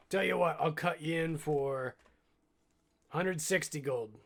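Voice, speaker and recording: A man puts on a raspy character voice, fairly high in pitch, at a moderate pace. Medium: actual play. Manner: evasive.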